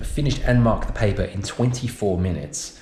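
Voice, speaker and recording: Here a man speaks at a moderate pace. His voice is somewhat breathy. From United Kingdom. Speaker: science and EAL teacher. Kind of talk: casual talk to camera.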